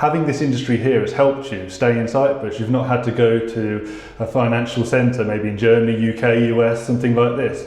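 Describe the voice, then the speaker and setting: Over noticeable background noise and audible room echo, a man with a British accent talks at a fairly quick pace in a medium pitch with monotone, flat intonation. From UK. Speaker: podcast interviewer. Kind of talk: interview. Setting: office.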